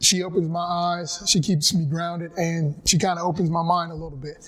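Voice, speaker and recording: Speaking at a moderate pace, a man uses a high pitch with monotone, flat intonation. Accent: North Carolina. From North Carolina. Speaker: physical education teacher and football coach. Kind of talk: personal testimony talk. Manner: conversational, reflective.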